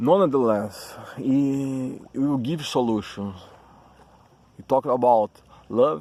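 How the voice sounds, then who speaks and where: A man with a Brazilian Portuguese accent, at a medium pitch and a fairly slow pace. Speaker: YouTuber talking about spirituality. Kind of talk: casual monologue. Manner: halting, with self-corrections.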